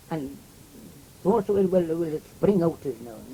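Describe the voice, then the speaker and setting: Fairly slow in pace, a man talks in a high-pitched voice. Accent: rural Welsh. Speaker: oral history interviewee. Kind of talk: oral history interview. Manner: halting, many fillers and repeats.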